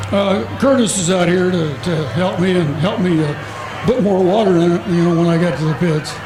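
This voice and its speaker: Noticeable background noise and audible room echo surround a man's voice. His pitch is high and his loudness very even. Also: ordinary pitch variation, moderate pace. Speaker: demolition race driver. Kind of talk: post-race interview.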